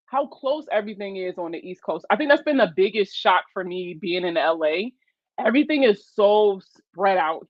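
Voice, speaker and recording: A woman with a Baltimore accent and a medium pitch sounds animated at a moderate pace, with very wide pitch swings and big swings in loudness. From West Baltimore, Maryland. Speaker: personal finance livestreamer. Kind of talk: casual livestream chat. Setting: live stream.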